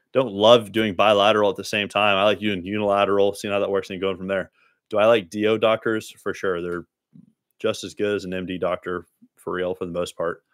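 With a Texan accent, a man speaks at a fairly quick pace with monotone, flat intonation in a dry sound with no echo. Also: fairly low pitch for a man, quiet background. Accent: Texan American. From Dallas, Texas; Texas. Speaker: spine surgeon. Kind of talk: live-stream Q&A. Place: home room. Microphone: studio mic.

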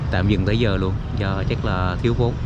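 The man's voice sounds dry and echo-free while heavy background noise plays around it. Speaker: local vlogger giving a walking tour. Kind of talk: casual walking tour commentary. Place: waterside. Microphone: phone near.

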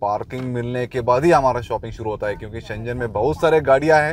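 The man's voice has ordinary pitch variation and a dry sound with no echo. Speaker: vlogger. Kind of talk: casual vlog chat. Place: car. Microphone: phone near.

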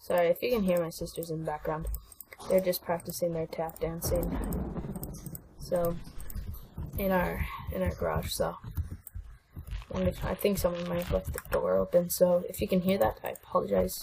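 Long, frequent pauses break up a woman's moderately paced speech, with noticeable background noise behind her. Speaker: gamer. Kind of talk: gameplay commentary.

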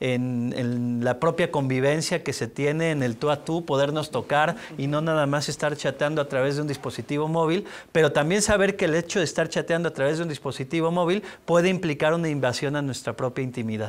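A man speaks at a moderate pace with a fairly high pitch. His pitch varies in an ordinary way. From Mexico City. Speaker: public institution head; interviewee. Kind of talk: interview. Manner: halting. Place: studio. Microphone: lapel.

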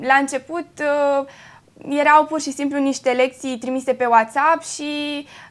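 A fairly slow pace from a female speaker. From Romania, Făgăraș area; Romania. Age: young. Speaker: high school graduate; guest. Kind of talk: TV interview. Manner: hesitant with fillers. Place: studio. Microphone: lapel.

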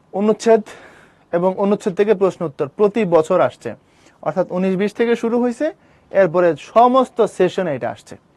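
The voice shows ordinary pitch variation and big swings in loudness. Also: man, high pitch for a man, dry, close sound with no echo. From Bangladesh, Brahmanbaria. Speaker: admission coaching teacher. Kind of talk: lecture.

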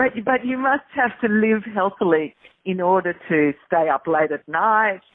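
A woman speaks at a fairly slow pace with an Australian accent. Her pitch sits in the medium range, and her intonation is lively. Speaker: radio host. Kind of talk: interview. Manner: animated.

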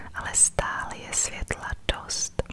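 Noticeable background noise surrounds soft-spoken whispering. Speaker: hiker vlogger. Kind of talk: casual vlog chat. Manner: soft ASMR whisper while walking. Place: forest. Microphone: phone near.

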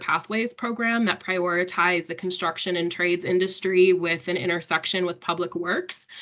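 A woman with a plain, everyday voice talks at a fairly quick pace with medium pitch and fairly even intonation. The background is quiet. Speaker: workforce program manager. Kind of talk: panel discussion. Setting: video call. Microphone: video call.

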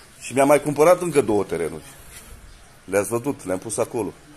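At a fairly quick pace, a man gets his words out. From Romania. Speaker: vlogger. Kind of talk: casual house tour vlog. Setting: at home. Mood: defensive, mocking. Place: street. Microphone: phone near.

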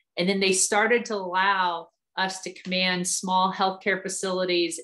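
In an American accent, a woman speaks at a moderate pace and medium pitch with a bright, sharp tone. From Ohio, US Midwest. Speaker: army officer and physical therapist. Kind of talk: talk to students.

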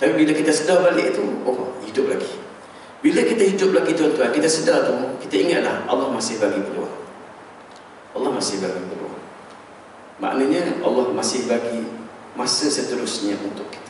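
With strong room echo and light background noise, a man speaks at a moderate pace, leaving long, frequent pauses. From Malaysia. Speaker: religious preacher. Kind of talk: sermon. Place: church.

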